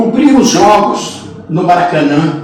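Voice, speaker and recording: Audible room echo surrounds a man with a high pitch and lively intonation. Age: 60s. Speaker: sports radio broadcaster. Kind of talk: interview storytelling.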